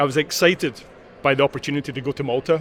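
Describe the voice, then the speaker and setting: A man with a Glaswegian accent talks at a fairly quick pace in a fairly high pitch. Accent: Glaswegian Scottish. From Scotland, Glasgow. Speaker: corporate sustainability leader. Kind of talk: interview.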